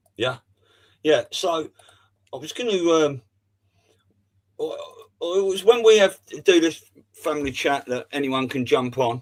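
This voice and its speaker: A man's fairly high voice with lively intonation, a fairly slow pace, and long, frequent pauses. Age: 50s. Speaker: livestream host. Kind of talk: casual chat. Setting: video call.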